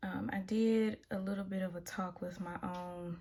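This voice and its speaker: A woman speaks with a strong Southern US accent. Her voice is fairly low and somewhat breathy. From US South. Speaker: tarot reader. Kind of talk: tarot reading monologue. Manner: casual, with many filler ums.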